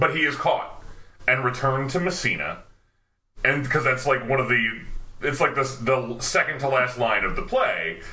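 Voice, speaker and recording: A man with an unremarkable speaking voice keeps a medium pitch, ordinary pitch variation, and a moderate pace. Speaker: actor and podcast host. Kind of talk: casual chat.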